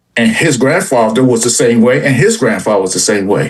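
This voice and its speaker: This man has an unremarkable speaking voice, medium in pitch and ordinary in its pitch variation. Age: 60s. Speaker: sports stream panelist. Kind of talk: casual panel chat.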